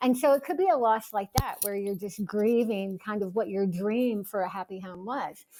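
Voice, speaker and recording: A woman talks at a medium pitch with a dark, mellow tone. She leaves hardly any pauses. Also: ordinary pitch variation, moderate pace. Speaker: author and cancer survivor. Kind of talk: interview. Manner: conversational.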